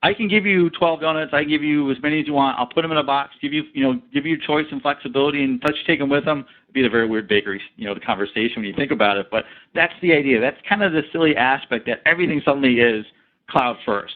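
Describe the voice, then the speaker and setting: This man speaks at a very fast pace with lively intonation. His pitch is fairly high. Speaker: sales engineer presenter. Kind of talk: webinar presentation. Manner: animated.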